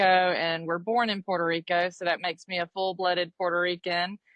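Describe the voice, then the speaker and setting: Speaking at a moderate pace, a woman with an Alabama accent has a medium pitch. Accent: Alabama twang. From US South, Dothan, Alabama. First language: Spanish. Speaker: realtor and investor. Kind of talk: podcast interview.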